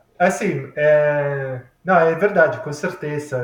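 A fairly high-pitched man with an Italian accent. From Italy, Milan. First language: Italian (speaking Portuguese). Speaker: engineering professor turned cook. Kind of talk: casual interview. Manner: halting.

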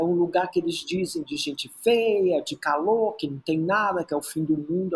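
A man with a high pitch takes a fairly slow pace. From Brazil, Rio de Janeiro (Praia Vermelha), born in Teresina. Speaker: choreographer and dancer. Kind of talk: interview conversation.

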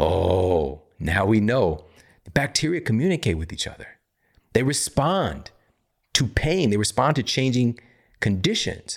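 On a very clean recording with a silent background, a man with an American accent talks at a fairly slow pace, leaving long, frequent pauses. His medium-pitched voice carries vocal fry and an animated tone, with very wide pitch swings. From US Midwest, Missouri. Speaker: health podcast host and author. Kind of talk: solo educational monologue.

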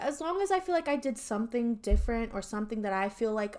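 A woman talks at a very fast pace in a fairly high pitch. Noticeable background noise is present. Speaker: podcast host. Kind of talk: casual chat.

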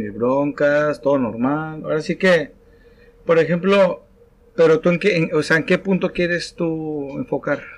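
Here a man uses an ordinary speaking voice, pitched fairly high. He talks at a fairly slow pace with ordinary pitch variation. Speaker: podcast host. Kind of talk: casual chat.

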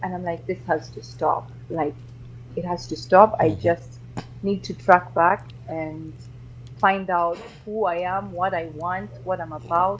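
A woman with a fairly low pitch and vocal fry speaks in a calm tone at a fairly slow pace, with ordinary pitch variation and big swings in loudness. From Uganda, early childhood in Kenya. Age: 40s. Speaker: radio journalist. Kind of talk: interview.

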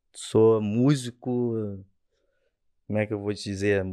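The man's voice has a dark, mellow tone and a fairly slow pace. The background is quiet. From Rio de Janeiro state, Brazil (Rio Bonito). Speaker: musician. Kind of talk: casual chat.

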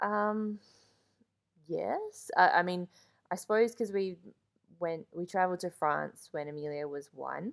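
A woman with an Australian accent speaks at medium pitch and a fairly slow pace, with ordinary pitch variation and long, frequent pauses. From Australia, mostly Melbourne. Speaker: host's wife. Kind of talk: casual chat. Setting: at home, sitting beside the host.

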